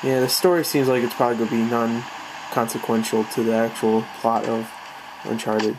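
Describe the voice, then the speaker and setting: Noticeable background noise sits under speech delivered at a fairly quick pace. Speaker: gaming youtuber. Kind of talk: let's play commentary. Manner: casual, profane. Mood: mildly annoyed, casual. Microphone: phone near.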